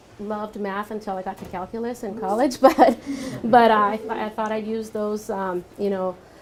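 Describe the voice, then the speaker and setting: At a moderate pace, a woman speaks with a fairly high pitch and fairly even intonation, her loudness swinging widely. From Santa Barbara, California (moved from Mexico at about five). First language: Spanish. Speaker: architect. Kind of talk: panel talk answering audience questions. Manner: hesitant with many fillers.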